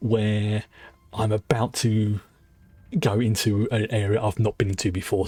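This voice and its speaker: A man's dark, mellow, somewhat breathy voice, fairly low in pitch, at a fairly slow pace. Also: very clean recording, silent background. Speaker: video game streamer. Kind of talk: casual gameplay commentary. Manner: halting, many false starts.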